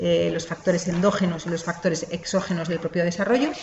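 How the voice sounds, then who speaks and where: Over noticeable background noise and audible room echo, a woman with a fairly low voice rushes at a very fast pace in a flat monotone. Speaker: lecturer, lawyer. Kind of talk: online lecture. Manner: hesitant, many fillers.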